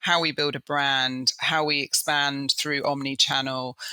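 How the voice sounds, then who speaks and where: This woman's voice sits very deep and low in pitch, with a bright, sharp tone. Her intonation stays fairly even. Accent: English. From Southeast England. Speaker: business executive. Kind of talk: interview. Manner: many fillers and hesitations.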